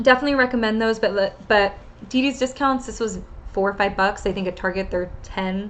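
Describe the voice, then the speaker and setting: Speaking at a medium pitch, a woman keeps her intonation fairly even. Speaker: fitness vlogger. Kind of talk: casual vlog tutorial. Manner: fast; hesitant with many fillers.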